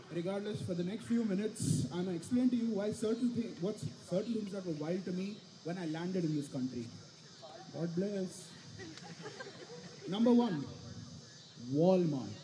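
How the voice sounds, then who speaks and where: A man's high voice with an Indian accent and lively intonation, long frequent pauses, audible room echo and noticeable background noise. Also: moderate pace. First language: Indian language. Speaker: student comedian. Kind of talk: stand-up. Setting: stage with audience.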